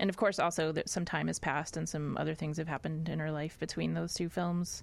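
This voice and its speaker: Someone talks at a fairly quick pace in a normal speaking voice. The recording is very clean, with a silent background. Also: woman. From US South, Nashville, Tennessee. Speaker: film writer and director. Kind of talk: interview.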